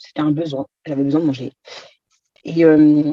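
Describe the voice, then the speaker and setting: A woman's very deep, low pitch carries a dark, mellow tone and fairly even intonation. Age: 30s. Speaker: patient giving testimonial. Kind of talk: testimony. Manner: hesitant, many fillers.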